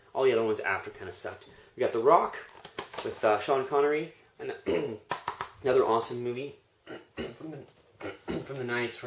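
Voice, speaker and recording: Putting on a raspy character voice at a medium pitch, a man talks at a fairly quick pace broken by long, frequent pauses. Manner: talking fast.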